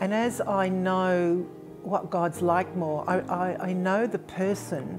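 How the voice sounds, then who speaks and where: Clear music plays in the background as a woman talks at a very slow pace in a fairly low pitch. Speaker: churchgoer sharing testimony. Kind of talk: interview answer. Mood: warm, earnest, reflective. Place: home room.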